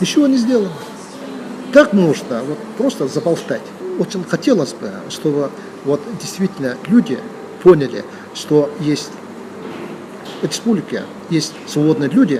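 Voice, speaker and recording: The speaker talks at a fairly slow pace, with long, frequent pauses and very wide pitch swings. Noticeable background noise sits under the voice. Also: man. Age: 60s. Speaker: former district head, politician. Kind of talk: interview. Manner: hesitant, with many fillers.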